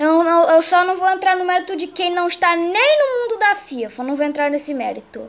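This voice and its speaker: This woman's voice has an extremely high pitch. She talks at a moderate pace with lively intonation. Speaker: podcast host. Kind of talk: casual chat.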